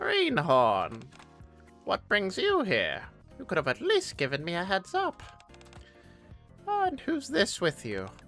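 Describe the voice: Using a put-on character voice, a man speaks at a fairly slow pace with long, frequent pauses while faint music plays in the background.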